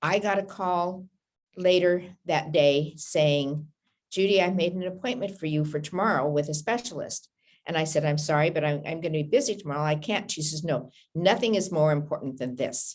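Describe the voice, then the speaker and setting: At a moderate pace, a woman talks in a very deep, low pitch that varies in an ordinary way. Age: 70s. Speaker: cancer patient. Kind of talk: interview.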